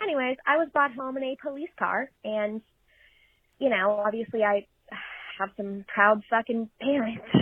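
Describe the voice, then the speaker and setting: At a moderate pace, the speech has ordinary pitch variation and long, frequent pauses. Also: woman, fairly high pitch for a woman. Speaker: listener caller. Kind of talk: storytelling. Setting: recorded voice message.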